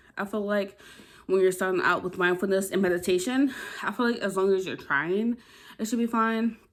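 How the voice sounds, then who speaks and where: Here is a woman with an unremarkable speaking voice at a medium pitch. She moves at a fairly quick pace with ordinary pitch variation. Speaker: lifestyle vlogger. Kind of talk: casual vlog talk to camera. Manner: casual, filler-heavy.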